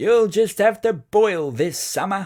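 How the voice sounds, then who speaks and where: A man slips into a put-on character voice, high in pitch and at a fairly slow pace. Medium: read story.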